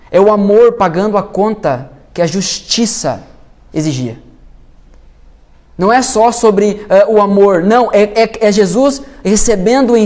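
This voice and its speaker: Lively in intonation and fairly slow, the speech has long, frequent pauses and audible room echo. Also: man. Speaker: pastor. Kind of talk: sermon. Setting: church.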